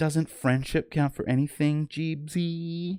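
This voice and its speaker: Putting on a character voice, a man speaks flat and monotone at a fairly high pitch and fairly slow pace, dry and close with no echo in a very clean recording with a silent background. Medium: read story.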